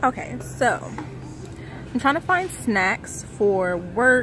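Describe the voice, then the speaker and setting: Speech at a very slow pace sounds dry with no echo, with clear music playing in the background. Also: woman. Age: 20s. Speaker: vlogger. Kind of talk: casual vlog talk to camera. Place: shop. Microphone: phone near.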